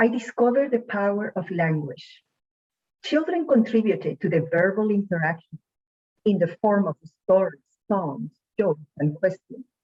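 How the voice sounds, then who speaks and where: A woman with a medium pitch speaks at a moderate pace, her intonation lively and her voice somewhat breathy. She leaves long, frequent pauses, and the sound is dry and close with no echo. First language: not English. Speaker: student speaker. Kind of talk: prepared speech. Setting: online showcase event.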